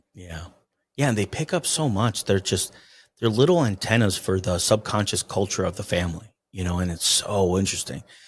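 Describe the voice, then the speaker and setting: At a fairly quick pace, a somewhat breathy man with a fairly low pitch speaks on a very clean recording with a silent background. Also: ordinary pitch variation. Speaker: family constellation facilitator. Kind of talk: casual chat.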